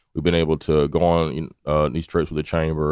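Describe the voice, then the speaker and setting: A man with a very deep, low pitch. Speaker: media studio owner. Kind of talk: casual interview.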